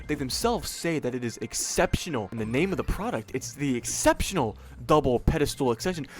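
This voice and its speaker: A man at a fairly high pitch with vocal fry, very wide pitch swings and a very fast pace. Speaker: online video host ranking products. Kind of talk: casual product ranking commentary. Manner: hesitant with fillers.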